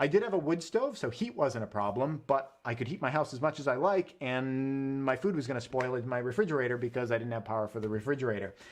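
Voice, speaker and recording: Over a quiet background, a man with an American accent talks at a very fast pace with hardly any pauses, at a medium pitch with ordinary pitch variation. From New England. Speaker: homesteading and prepping channel host. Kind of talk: live stream chat.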